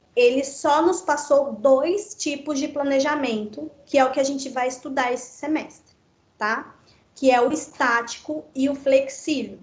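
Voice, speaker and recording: A woman speaks at a high pitch, with audible room echo around her voice. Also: ordinary pitch variation, fairly slow pace. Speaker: teacher. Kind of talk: online lecture.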